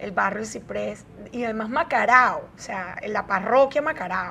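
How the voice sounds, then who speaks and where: Against noticeable background noise, a woman talks at a fairly high pitch. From Venezuela, Caracas. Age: 40s. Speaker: media personality. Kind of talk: interview.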